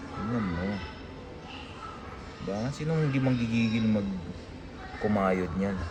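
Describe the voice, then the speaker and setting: With music in the background and audible room echo, a man speaks at a fairly slow pace and a fairly low pitch. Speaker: vlogger. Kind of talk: casual vlog. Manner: animated.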